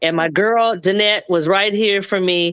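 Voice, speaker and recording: The voice has an American accent and an animated tone. It moves at a moderate pace with ordinary pitch variation. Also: woman. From Los Angeles, US West Coast. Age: 60s. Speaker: guest in online discussion. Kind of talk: testimony.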